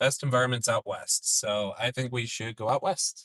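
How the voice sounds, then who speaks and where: A man with an American accent speaks at a medium pitch and a fairly slow pace. His tone is bright and sharp, and the sound is dry and close with no echo. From Minnesota. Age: 40s. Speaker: storm chaser. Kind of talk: live stream commentary.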